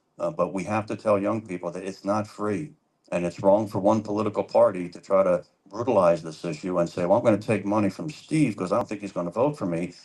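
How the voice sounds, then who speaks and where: A man talks at a very fast pace, his pitch fairly low. His pitch variation is ordinary. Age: 60s. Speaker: political candidate. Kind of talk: town hall debate answer. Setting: public library town hall with audience.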